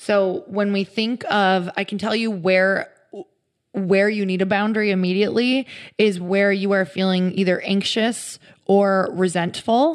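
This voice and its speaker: At a fairly slow pace, an unremarkable speaking voice with an American accent and fairly even intonation comes through on a very clean recording with a silent background. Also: woman, medium pitch for a woman. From US Midwest. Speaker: author and fitness entrepreneur. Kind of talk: casual interview. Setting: in person at her home.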